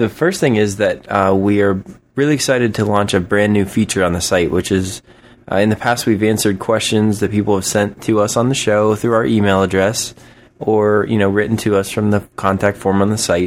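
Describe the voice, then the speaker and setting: At a fairly quick pace, a man talks in a normal speaking voice, fairly low in pitch, with fairly even intonation and very even loudness. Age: 30s. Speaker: podcast host. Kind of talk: casual chat.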